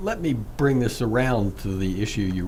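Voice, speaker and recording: Audible room echo surrounds a man whose voice is somewhat breathy and fairly low in pitch. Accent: American. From Virginia, US. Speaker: professor and radio host. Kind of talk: radio interview.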